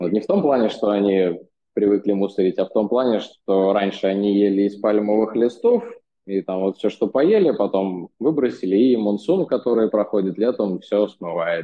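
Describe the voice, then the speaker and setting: A normal speaking voice, moderately paced, with ordinary pitch variation. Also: man, fairly low pitch for a man. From Russia. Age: 20s. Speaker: expat in India. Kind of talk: interview. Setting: remote call.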